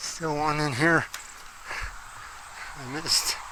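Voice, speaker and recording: A man speaks at a very slow pace and a fairly high pitch in a relaxed tone. Room echo is audible, along with noticeable background noise. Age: 80s+. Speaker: home gardener. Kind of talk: casual garden tour vlog. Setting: outdoors in garden. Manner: relaxed, halting with fillers.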